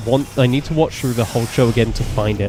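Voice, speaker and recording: Music plays behind a man talking at a very fast pace. His pitch is medium, with ordinary variation. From Britain. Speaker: gaming streamer. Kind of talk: casual live-stream chat while gaming. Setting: live stream. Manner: relaxed, halting with fillers.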